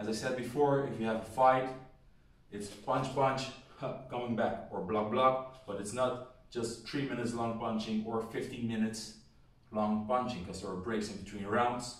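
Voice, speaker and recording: With fairly even intonation and a moderate pace, a man talks in a space with audible room echo. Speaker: boxing coach. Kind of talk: tutorial. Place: home room. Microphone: camera far.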